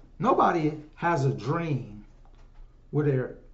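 The voice is somewhat breathy and animated in tone, with audible room echo around it. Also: man. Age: 50s. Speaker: solo podcaster and livestreamer. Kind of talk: casual monologue. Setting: home livestream on phones. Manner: animated, conversational. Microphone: room echo, no headphones.

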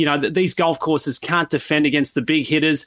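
A man talks in an Australian accent, and the recording is very clean with a silent background. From Sydney, Australia. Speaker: golf analyst, former caddie. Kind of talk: interview, sports analysis.

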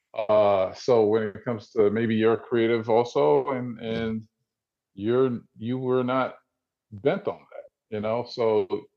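A man speaks at a very slow pace with a New Jersey accent. His pitch sits in the middle range, with ordinary variation. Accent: New Jersey American. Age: 40s. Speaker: visual artist. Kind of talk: interview.

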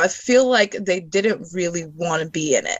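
A plain, everyday voice from a woman: medium pitch, lively intonation and a moderate pace. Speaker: guest. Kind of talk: casual chat.

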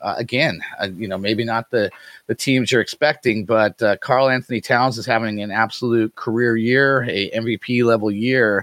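A man with an American accent speaks in a normal speaking voice at a moderate pace, his medium pitch carried on fairly even intonation in a dry, close sound with no echo. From US Pacific Northwest. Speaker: fantasy basketball podcast host. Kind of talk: casual sports analysis chat.

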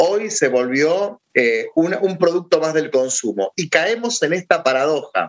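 With an ordinary speaking voice, a man speaks fairly slowly, fairly high in pitch and with lively intonation, leaving hardly any pauses in a dry, close sound with no echo. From Argentina. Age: 30s. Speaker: philosopher and teacher. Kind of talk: casual interview.

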